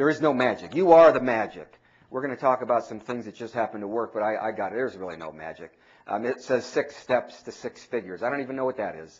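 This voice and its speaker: The voice has vocal fry and an animated tone at a very fast pace. Its loudness swings widely. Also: man. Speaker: mortgage industry speaker and trainer. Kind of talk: seminar talk.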